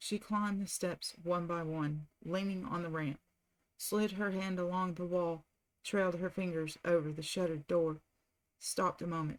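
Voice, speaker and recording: A soft-spoken woman with an American accent, fairly low in pitch, with fairly even intonation, a moderate pace and long, frequent pauses. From southern United States. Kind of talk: audiobook reading, relaxing. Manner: soft-spoken, calm.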